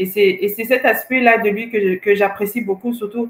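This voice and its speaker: With a Swahili accent, a woman speaks at a fairly slow pace and a medium pitch, her intonation fairly even. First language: Swahili (speaking French). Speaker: co-host. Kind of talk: casual chat. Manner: halting.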